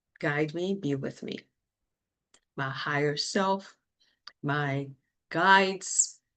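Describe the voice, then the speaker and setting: The speech comes very slowly in a French accent, with ordinary pitch variation. The background is quiet. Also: woman. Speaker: mortgage lender and energy practitioner. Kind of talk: solo livestream talk. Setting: live video stream. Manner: halting, searching for words.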